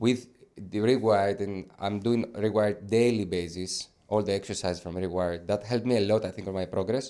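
A man's fairly low, dark, mellow voice at a fairly quick pace with hardly any pauses. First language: not English. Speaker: funded trader. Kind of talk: interview. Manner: halting; animated.

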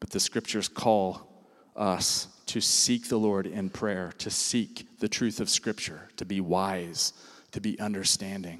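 Fairly slow in pace, a normal speaking voice delivers its words with fairly even intonation. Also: man, fairly low pitch for a man. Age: 50s. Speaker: pastor. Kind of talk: sermon.

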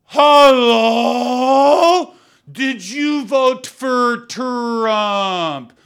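This put-on character voice sits fairly high in pitch, on a very clean recording with a silent background.

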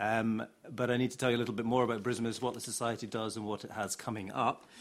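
Extremely rapid delivery, captured on a very clean recording against a silent background. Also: man. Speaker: academic centre deputy director and panel chair. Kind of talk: panel event moderation. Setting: stage with audience.

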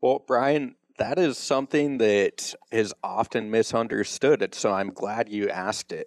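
In a dry, close recording with no echo, a man with a plain, everyday voice speaks at a fairly slow pace with medium pitch, ordinary pitch variation, and hardly any pauses. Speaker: financial advisor. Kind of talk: radio interview explaining financial topics.

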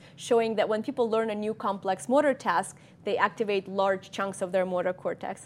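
A woman with a Russian accent speaks at a medium pitch with fairly even intonation. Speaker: cognitive scientist. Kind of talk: lecture. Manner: halting.

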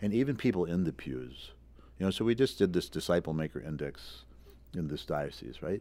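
A man with an American accent talks at a fairly quick pace in a very deep, low voice with vocal fry and very wide pitch swings. The recording is very clean, with a silent background. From US Midwest, Wisconsin. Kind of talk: casual interview.

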